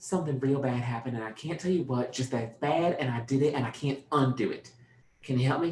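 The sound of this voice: The pitch moves in an ordinary way as the speaker reads in an unforced voice.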